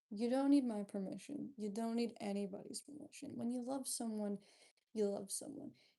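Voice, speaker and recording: A woman's quiet, fairly high voice with a dark, mellow tone, ordinary pitch variation and a moderate pace. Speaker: livestreamer. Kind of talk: casual chat.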